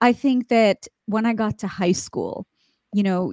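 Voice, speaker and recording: A woman with an American accent and an unremarkable speaking voice talks at a moderate pace with ordinary pitch variation. The very clean recording has a silent background and a dry, close sound with no echo. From US, central Pennsylvania. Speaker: TV journalist. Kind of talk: interview.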